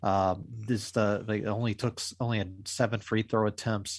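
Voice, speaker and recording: In a quiet background, a man with an ordinary speaking voice talks at a moderate pace and medium pitch with fairly even intonation. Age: 40s. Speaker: sports podcast co-host. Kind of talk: casual chat.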